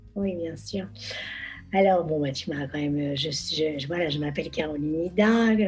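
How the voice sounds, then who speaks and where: Noticeable background noise and audible room echo around a woman's very deep, low voice, at a moderate pace with ordinary pitch variation. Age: 60s. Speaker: model and social media influencer. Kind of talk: casual interview chat. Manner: hesitant, many fillers and repetitions.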